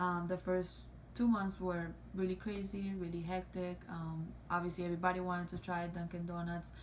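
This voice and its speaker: The woman's voice is fairly low and monotone, with flat intonation. She speaks at a fairly quick pace. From Cuba or Mexico. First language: not English. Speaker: YouTuber. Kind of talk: casual chat. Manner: halting, many fillers.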